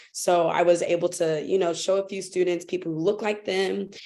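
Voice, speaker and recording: A woman with an American accent speaks at a fairly low pitch. Her tone is dark and mellow, her intonation monotone and flat. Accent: American accent when speaking German. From United States. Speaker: teacher abroad, panelist. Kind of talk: panel discussion.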